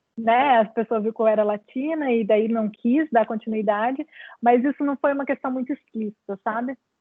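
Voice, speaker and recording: Her pitch sits fairly high, and her pace is moderate. The woman's intonation is fairly even. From Brazil. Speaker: clinical psychologist. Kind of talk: lecture Q&A. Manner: halting.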